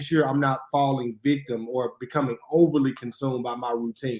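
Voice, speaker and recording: Medium-pitched male voice, flat and monotone, with a Mississippi accent. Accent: Southern US (Mississippi). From US South, Jackson, Mississippi. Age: 30s. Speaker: history professor and minister. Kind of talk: podcast interview.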